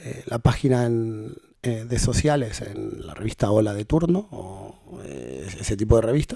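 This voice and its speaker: A man's dark, mellow voice with ordinary pitch variation, dry and close with no echo. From Argentina. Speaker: hosting company country manager. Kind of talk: podcast interview. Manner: hesitant, many fillers.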